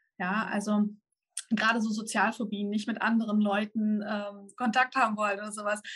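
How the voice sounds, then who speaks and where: Fairly quick and fairly high-pitched, a woman talks in a monotone with flat intonation. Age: 30s. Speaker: manifestation coach and YouTuber. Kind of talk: interview. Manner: halting.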